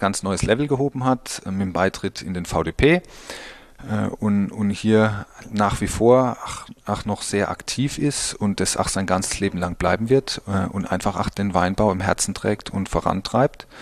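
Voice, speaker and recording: Pausing long and often, a man speaks at a fairly slow pace in a fairly low pitch with ordinary pitch variation. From Pfalz, Germany (Birkweiler). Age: 30s. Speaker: winemaker. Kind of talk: interview. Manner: halting, many fillers.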